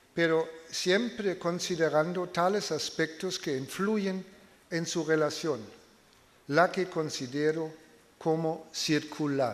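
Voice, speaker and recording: A man with a non-native accent speaks at a very slow pace. His pitch is fairly high, with ordinary variation. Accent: foreign (non-native Spanish). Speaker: political science professor. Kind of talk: lecture read aloud. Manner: halting.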